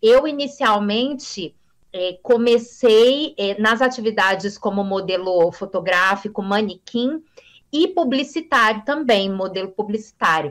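On a very clean recording with a silent background, a woman speaks fairly slowly with lively intonation and a fairly high pitch. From Brasília, Brazil. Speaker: journalist and communication teacher. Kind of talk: interview. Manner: fluent.

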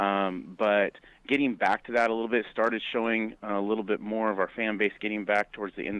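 A man talks at a fairly quick pace. He has an ordinary speaking voice. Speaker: college basketball coach. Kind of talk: interview.

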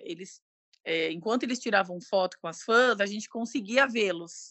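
A woman's normal speaking voice at a medium pitch, ordinary pitch variation, fairly slow pace. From São Paulo, Brazil. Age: 30s. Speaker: bank employee and fan. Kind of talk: casual chat.

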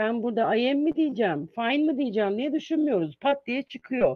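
A woman's high voice with lively intonation. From Izmir, Turkey. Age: 50s. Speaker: English teacher and university lecturer. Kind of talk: interview, informative talk. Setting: video call.

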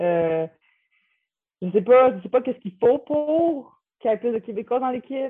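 Speaking at a high pitch and a moderate pace, a woman uses lively intonation, big swings in loudness, and long, frequent pauses. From Quebec, Repentigny. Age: 20s. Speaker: college basketball player. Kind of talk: interview. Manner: halting.

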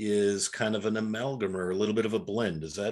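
At a moderate pace, a man with an unremarkable speaking voice talks at a medium pitch. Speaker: podcast host. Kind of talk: casual interview chat.

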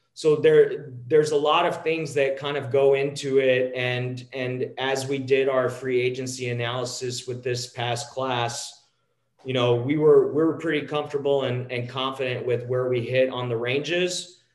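At a moderate pace and with hardly any pauses, a man with an American accent speaks in a medium pitch with monotone, flat intonation. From Texas, near Dallas. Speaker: sports analytics company founder, former sports agent. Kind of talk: podcast interview. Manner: halting, with frequent repetitions.

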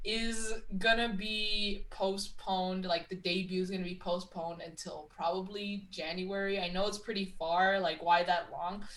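At a moderate pace with hardly any pauses, a woman speaks at a medium pitch in monotone, flat intonation. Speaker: wrestling podcast co-host. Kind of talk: casual chat.

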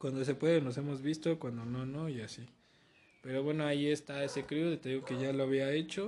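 In a Mexican accent, a man with a fairly high pitch and a dark, mellow tone talks at a fairly quick pace with fairly even intonation. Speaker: graffiti artist and podcast host. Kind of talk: casual chat.

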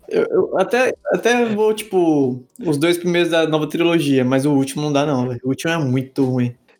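Here a man uses an ordinary speaking voice, fairly high in pitch, with lively intonation. He keeps a moderate pace with hardly any pauses. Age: 20s. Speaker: podcast co-host. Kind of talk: casual chat.

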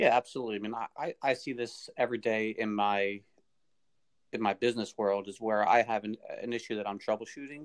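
Fairly quick speech from a man at medium pitch, dry and close with no echo, over a quiet background. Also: fairly even intonation. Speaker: podcast guest. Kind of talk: casual chat. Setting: phone call.

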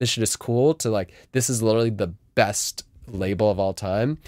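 A plain, everyday voice with an American accent at a moderate pace, dry and close with no echo, on a very clean recording with a silent background. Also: man. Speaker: guest DJ and music label owner. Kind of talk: casual interview chat.

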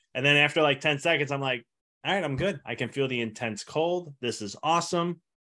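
Speaking in an ordinary speaking voice, a man with a fairly high pitch and ordinary pitch variation moves at a fairly quick pace. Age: 30s. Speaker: chiropractor and health coach. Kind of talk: interview.

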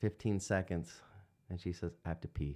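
The recording is very clean, with a silent background. A man with a Midwestern American accent talks at a moderate pace with fairly even intonation. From Indiana. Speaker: hunter and union worker. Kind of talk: casual chat.

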